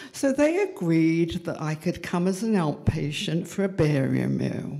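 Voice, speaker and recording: Against a quiet background, a woman speaks with a fairly low pitch. Her pace is fairly slow. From England, London. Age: 80s+. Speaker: storyteller. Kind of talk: storytelling. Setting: stage with audience. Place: stage. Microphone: handheld.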